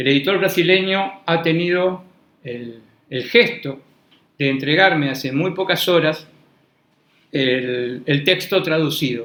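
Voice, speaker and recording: A man with a bright, sharp tone and fairly high pitch talks at a very slow pace with long, frequent pauses. His intonation is lively, and audible room echo surrounds him. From Argentina. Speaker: law professor. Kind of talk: lecture. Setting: university classroom, also streamed online. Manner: formal; hesitant, repeats words.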